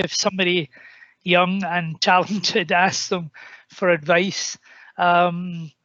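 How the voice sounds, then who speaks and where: A man with a Scottish accent speaks very slowly in a high, monotone, flat voice. Long, frequent pauses break up his speech. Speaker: senior politician. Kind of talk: panel discussion remarks.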